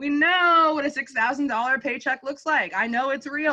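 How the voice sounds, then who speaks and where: A high-pitched woman's raised, projected voice, animated in tone, with ordinary pitch variation. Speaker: direct sales distributor trainer. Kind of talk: training call. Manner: fast.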